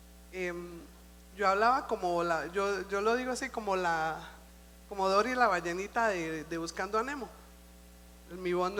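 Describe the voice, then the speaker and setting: A woman speaks at a medium pitch with ordinary pitch variation, and audible room echo surrounds her voice. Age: old. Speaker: church speaker. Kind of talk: sermon.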